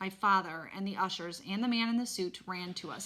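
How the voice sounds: The reading sounds natural. That natural reading voice stays the same all the way through.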